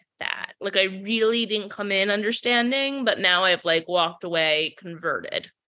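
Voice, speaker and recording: A woman talks at a medium pitch with a bright, sharp tone and ordinary pitch variation. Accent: American. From Rhode Island, US. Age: 30s. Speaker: journalist and author. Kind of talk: casual interview chat.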